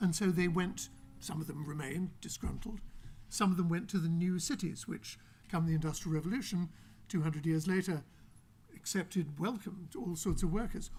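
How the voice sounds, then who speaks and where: Speaking at a fairly quick pace, a man with an English accent uses a high pitch and ordinary pitch variation. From England. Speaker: author. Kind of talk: panel discussion.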